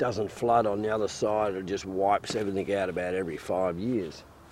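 A man talks fairly slowly with an Australian accent. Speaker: fox hunter and bowhunter. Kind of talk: casual instructional chat.

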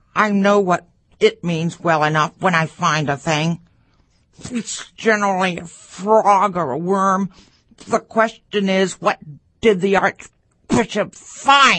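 A female-sounding put-on character voice at medium pitch for a woman speaks at a fairly slow pace, with long, frequent pauses. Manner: blunt, mocking.

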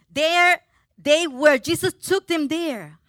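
A woman's bright, sharp voice in a Spanish accent, with a dry, close sound and no echo. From Puerto Rico. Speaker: preacher. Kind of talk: sermon. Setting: church. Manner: halting.

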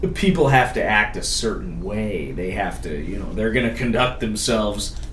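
A man with an American accent talks at a fairly slow pace. Audible room echo and noticeable background noise are present. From Connecticut, Waterford. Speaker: podcast guest. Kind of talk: casual chat.

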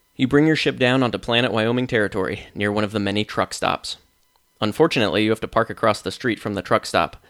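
Someone reads aloud in a natural voice, with ordinary pitch variation. The background is quiet.

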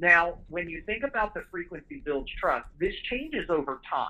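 Talking at a fairly quick pace, a man uses a high-pitched voice with a bright, sharp tone. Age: 40s. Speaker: home service business owner. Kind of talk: interview.

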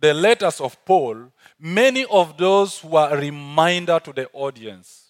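A man with an African accent speaks fairly slowly at a high pitch with lively intonation, in a dry, close recording with no echo. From South Sudan. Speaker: visiting preacher. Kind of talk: sermon. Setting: church stage with audience.

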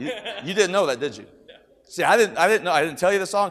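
The man's pitch varies in an ordinary way. He talks very fast. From Kentucky. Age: 50s. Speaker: preacher. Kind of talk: sermon. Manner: animated.

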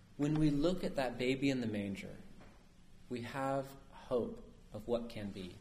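At a fairly slow pace with ordinary pitch variation, the speaker leaves long, frequent pauses in a space with audible room echo. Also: man, medium pitch for a man. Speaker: priest. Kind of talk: sermon. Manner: conversational, asks audience questions.

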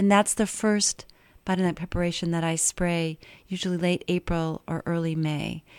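A woman with an American accent and a normal speaking voice talks at a moderate pace, her fairly low pitch held to fairly even intonation, in a dry, close, echo-free recording with a silent background. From western Maine, US. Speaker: herbalist and organic gardener. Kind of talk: radio interview. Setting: radio studio.

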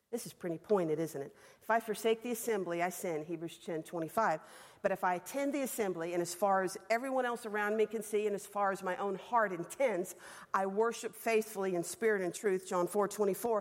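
A woman speaks at a fairly quick pace with a Southern US accent. Her medium pitch shows ordinary variation. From Alabama. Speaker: women's Bible class teacher. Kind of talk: sermon. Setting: stage with audience. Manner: fast.

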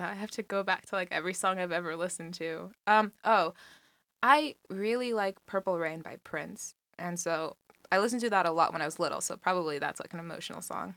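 With an American accent, a woman speaks at a fairly quick pace in a medium pitch, her bright, sharp tone showing ordinary pitch variation and big swings in loudness, in a very clean recording with a silent background. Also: dry, close sound with no echo. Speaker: college student on a blind date. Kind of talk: casual chat on a date.

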